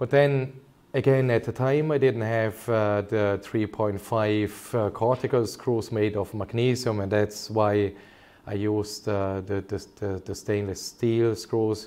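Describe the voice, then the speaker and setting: A man's fairly low, dark and mellow voice at a fairly slow pace, with fairly even intonation. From Germany. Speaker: consultant orthopaedic surgeon. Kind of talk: medical webinar presentation. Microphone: webcam.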